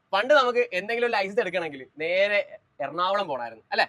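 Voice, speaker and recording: A man's high voice with a bright, sharp tone and lively intonation, dry and close with no echo. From Alappuzha, Kerala. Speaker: YouTube host. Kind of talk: casual interview and driving lesson on camera.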